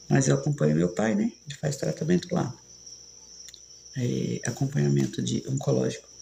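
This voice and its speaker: A woman speaking over noticeable background noise. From São Paulo, Brazil. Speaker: live streamer. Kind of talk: casual chat.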